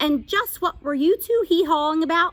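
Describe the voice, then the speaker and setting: A woman puts on a squeaky character voice at an extremely high pitch. She talks at a moderate pace with ordinary pitch variation. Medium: read story. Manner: blunt, gruff, cryptic.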